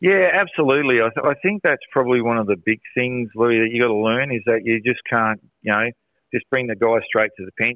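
Medium-pitched male speech in an Australian accent, fairly quick, with ordinary pitch variation. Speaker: soccer coach. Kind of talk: radio interview. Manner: loud.

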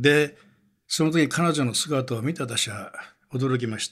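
A somewhat breathy man with lively intonation, on a very clean recording over a silent background. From Wakayama, Japan. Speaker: newspaper journalist. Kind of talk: documentary narration.

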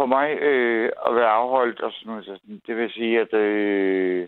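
This man talks at a fairly slow pace, with a medium pitch and fairly even intonation. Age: 50s. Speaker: caller. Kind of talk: phone-in conversation. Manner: halting, many fillers.

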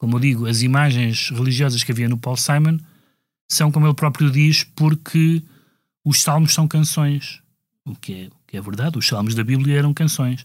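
A man at a fairly high pitch and a moderate pace. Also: ordinary pitch variation. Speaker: music critic podcast co-host. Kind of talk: casual discussion. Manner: hesitant, many fillers.

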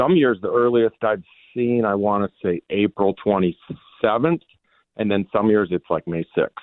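A man with an unremarkable speaking voice, medium pitch, an American accent, lively intonation and a moderate pace. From Minnesota. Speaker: fishing guide. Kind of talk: radio interview. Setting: phone call.

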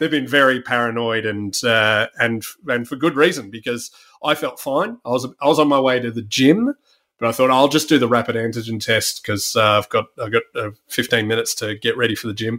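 A man speaks fairly quickly with an Australian accent, his tone bright and sharp. His pitch sits in the medium range and varies in an ordinary way. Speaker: podcast host. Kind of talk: casual chat. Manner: halting.

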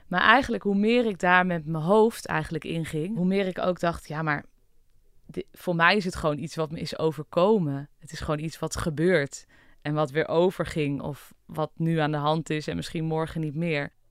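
The speaker keeps a moderate pace with ordinary pitch variation. The recording is very clean, with a silent background. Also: woman, fairly low pitch for a woman. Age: 30s. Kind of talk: personal testimony interview. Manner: hesitant, many fillers.

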